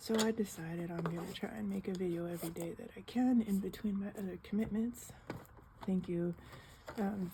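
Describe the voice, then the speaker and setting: At a moderate pace, the soft-spoken voice shows ordinary pitch variation. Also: woman. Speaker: coloring video creator. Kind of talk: casual chat. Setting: home living room.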